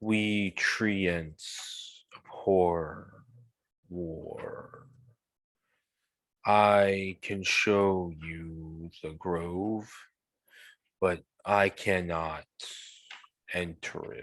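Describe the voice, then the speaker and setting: In a put-on character voice, a man speaks with a very deep, low pitch at a very slow pace. Long, frequent pauses break up his delivery. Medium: actual play. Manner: slow, solemn.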